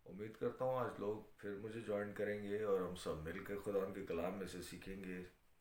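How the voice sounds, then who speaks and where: Speaking at a moderate pace with hardly any pauses, a man with a fairly low voice keeps a flat monotone while the room echo is audible. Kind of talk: sermon on live stream. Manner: hesitant with fillers.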